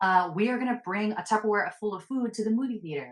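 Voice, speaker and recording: A woman speaks with an animated tone at a medium pitch. Her intonation is lively. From US, Filipino-American family. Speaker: personal finance influencer. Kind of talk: casual interview.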